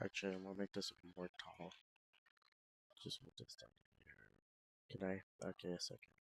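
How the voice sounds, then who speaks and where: Soft-spoken and at a fairly slow pace, a man's voice comes through dry and close with no echo. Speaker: game developer streamer. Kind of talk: casual live coding stream. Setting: live stream. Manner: soft-spoken, quiet; casual, halting with fillers.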